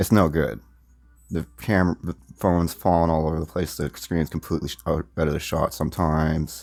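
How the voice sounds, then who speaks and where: A soft-spoken voice at a fairly quick pace, with fairly even intonation. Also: man, very deep, low pitch for a man. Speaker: gaming YouTuber. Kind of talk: casual gameplay vlog. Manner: halting, repeats words.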